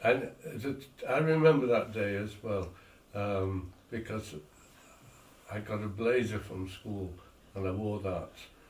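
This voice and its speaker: A man talks at a very slow pace with long, frequent pauses and ordinary pitch variation. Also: fairly low pitch for a man. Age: 80s+. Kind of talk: casual reminiscing conversation.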